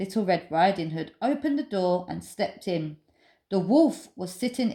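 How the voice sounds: The clip features a voice that reads in a natural way.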